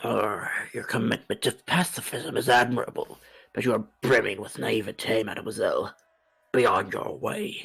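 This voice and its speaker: At a moderate pace, a man uses a raspy, put-on character voice. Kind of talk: formal, archaic. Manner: disdainful, pompous.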